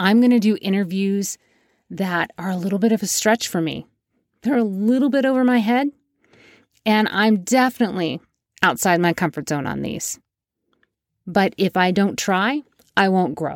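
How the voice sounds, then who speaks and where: Her medium pitch and lively intonation come through at a moderate pace with long, frequent pauses, as the woman is recorded dry and close with no echo, very cleanly, against a silent background. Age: 50s. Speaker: podcast host. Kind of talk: solo monologue to listeners.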